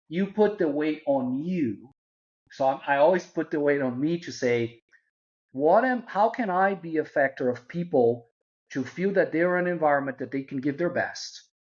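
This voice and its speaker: A man with a Portuguese accent, fairly high pitch and lively intonation at a moderate pace. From Brazil. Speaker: marketing executive. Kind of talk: interview.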